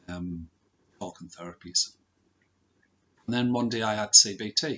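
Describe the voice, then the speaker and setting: A man talks in a soft-spoken way. His intonation is fairly even. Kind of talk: personal story talk to camera.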